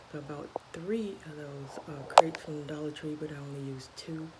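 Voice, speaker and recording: A woman whispers at a moderate pace. Noticeable background noise and audible room echo fill the recording. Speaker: crafting vlogger. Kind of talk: casual show-and-tell vlog. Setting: at work. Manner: whispering; hesitant, many fillers.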